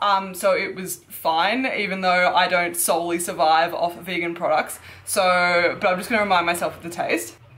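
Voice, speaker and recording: Against noticeable background noise, a woman with an Australian accent and fairly low pitch speaks at a moderate pace, her intonation fairly even and hardly any pauses between words. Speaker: fitness YouTuber. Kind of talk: product review vlog. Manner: casual, chatty.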